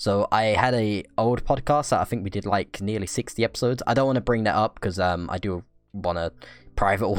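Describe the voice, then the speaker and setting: On a very clean recording with a silent background, a man with a fairly low pitch speaks in an unremarkable speaking voice at a moderate pace. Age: 20s. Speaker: podcast co-host and YouTuber. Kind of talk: casual chat.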